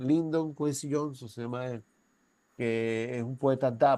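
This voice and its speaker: A man speaks in an unremarkable speaking voice at a fairly slow pace. His pitch is medium and his intonation fairly even. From Venezuela. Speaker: university professor. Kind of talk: lecture. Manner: conversational, with frequent tag questions.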